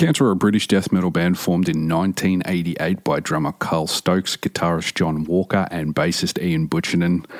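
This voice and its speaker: With an Australian accent, a man with a very deep, low pitch speaks at a fairly quick pace with hardly any pauses and fairly even intonation in a dry, close sound with no echo. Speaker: metal podcast host. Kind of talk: podcast monologue. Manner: casual.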